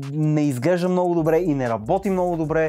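The man's high-pitched voice has a dark, mellow tone. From Bulgaria. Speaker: tech reviewer. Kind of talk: product review video. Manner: casual, chatty. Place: studio.

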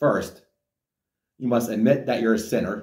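A man at a moderate pace with fairly even intonation, amid audible room echo. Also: quiet background. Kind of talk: sermon-like message to camera. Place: home room. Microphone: camera far.

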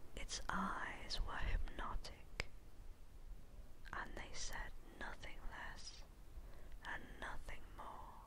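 Long, frequent pauses break up a woman's whispering, which moves at a very slow pace. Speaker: ASMR storyteller. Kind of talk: ASMR poem reading.

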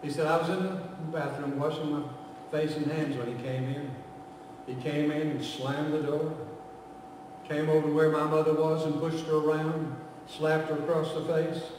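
The pace is moderate. Strong room echo surrounds the voice. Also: man.

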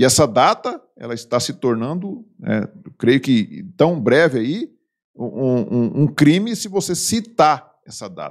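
A man's fairly high voice with very wide pitch swings and a Brazilian accent, at a fairly slow pace, against a quiet background. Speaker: video blogger, political commentator. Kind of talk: indignant rant, political commentary. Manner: indignant, angry, scornful, emphatic. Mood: indignant, critical. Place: home room. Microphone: studio mic.

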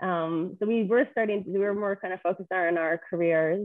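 With a Canadian accent and ordinary pitch variation, a woman speaks against a quiet background in a dry sound with no echo. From Edmonton, Alberta, Canada. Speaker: real estate investor; podcast guest. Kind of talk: podcast interview. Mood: friendly, smiling. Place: home room. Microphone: video call.

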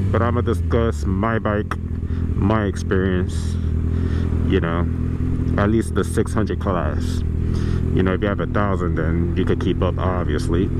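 Loud background noise surrounds a man who speaks with long, frequent pauses in a dry sound with no echo. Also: moderate pace. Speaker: motorcycle rider vlogger. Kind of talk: casual vlog chat. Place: motorbike. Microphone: helmet.

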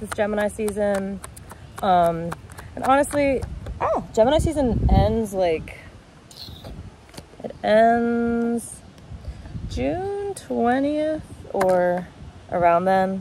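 A woman speaks with long, frequent pauses, her voice dry with no echo over light background noise. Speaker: tarot reader. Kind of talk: casual vlog chat. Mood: relaxed, cheerful. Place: garden. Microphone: phone near.

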